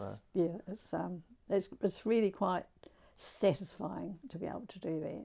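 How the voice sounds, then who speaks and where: A woman's medium-pitched voice with a New Zealand accent, dark and mellow in tone with vocal fry, at a fairly slow pace, with big swings in loudness and ordinary pitch variation. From New Zealand, Wellington. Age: 80s+. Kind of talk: interview answer.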